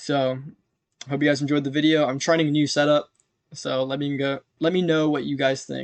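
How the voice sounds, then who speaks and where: A man talks at a fairly high pitch for a man. His intonation is monotone and flat. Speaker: stock market commentator. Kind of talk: market recap tutorial. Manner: halting, self-correcting; casual. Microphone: new recording setup.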